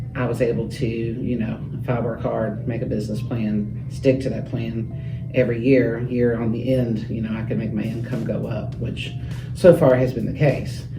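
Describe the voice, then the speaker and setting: A man with an American accent talks at a moderate pace, his pitch medium and his intonation monotone and flat. Music plays in the background, and the room echo is audible. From Kentucky (Shelby County). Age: 30s. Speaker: real estate agent. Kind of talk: interview. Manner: hesitant, many fillers.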